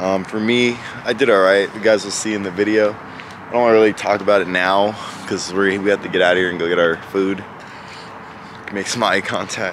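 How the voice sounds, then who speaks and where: Against noticeable background noise, a man with a fairly low pitch talks at a fairly quick pace in a monotone, flat intonation, the sound dry with no echo. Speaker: powerlifter vlogger. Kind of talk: casual vlog chat. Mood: proud but a bit unsettled. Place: street. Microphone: phone near.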